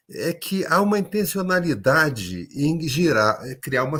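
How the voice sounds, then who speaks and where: Music plays in the background. Over it, a man speaks in a fairly high pitch. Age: 60s. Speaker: education policy expert. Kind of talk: panel discussion.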